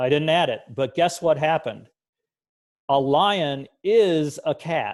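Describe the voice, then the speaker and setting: Against a quiet background, a man with a fairly high pitch speaks at a very slow pace, his pitch varying in an ordinary way. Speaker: computer science teacher trainer. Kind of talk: tutorial.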